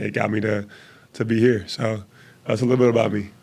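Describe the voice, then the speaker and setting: The voice has vocal fry and fairly even intonation at a very fast pace. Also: man. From Jamaica (Kingston), moved to Miami at 12. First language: Jamaican Patois. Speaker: former athlete turned business owner. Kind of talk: podcast interview. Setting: studio with cameras.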